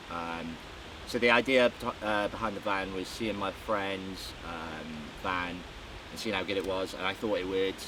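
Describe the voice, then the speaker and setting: Speaking with a South Welsh accent, a man uses a fairly low pitch and ordinary pitch variation over noticeable background noise. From South Wales. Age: 20s. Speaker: naval engineer and van owner. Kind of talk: van tour walkthrough. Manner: hesitant, many fillers.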